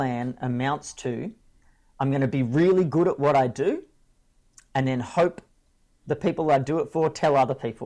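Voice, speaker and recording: A man speaks with an Australian accent. His pitch is fairly high. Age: 40s. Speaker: speaker and coach. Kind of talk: interview conversation. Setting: at home with kids nearby.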